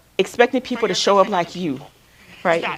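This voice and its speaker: Amid noticeable background noise, a woman at medium pitch talks at a fairly quick pace with lively intonation. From Alabama, US South. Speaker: counselor. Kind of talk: workshop talk. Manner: fast; loud.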